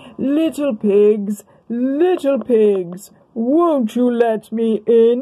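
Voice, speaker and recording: The speech comes very slowly. The voice is a put-on character. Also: woman, fairly high pitch for a woman. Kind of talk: bedtime story. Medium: read story.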